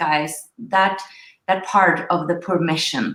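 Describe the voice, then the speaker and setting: A woman with a Norwegian accent speaks very slowly at a medium pitch in a bright, sharp tone. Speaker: spiritual coach, show host. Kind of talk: live online interview. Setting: livestream. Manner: halting.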